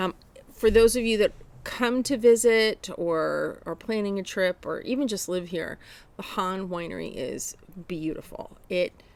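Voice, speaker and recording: The speaker moves at a fairly slow pace, with ordinary pitch variation. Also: woman, medium pitch for a woman. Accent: New Jersey. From New Jersey. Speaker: podcast co-host, knitter. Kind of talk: casual chat.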